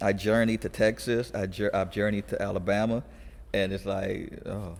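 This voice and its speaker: With vocal fry and fairly even intonation, a man talks at a moderate pace in a fairly low pitch. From California, US (moved from abroad as a child). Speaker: youth conditioning coach. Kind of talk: casual podcast interview. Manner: halting, many restarts.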